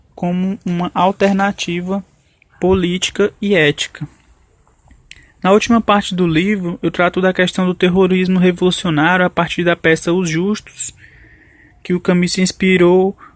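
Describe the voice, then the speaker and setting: A high-pitched man's voice in a flat monotone, dry and close with no echo. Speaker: author discussing his book. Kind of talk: radio interview answer.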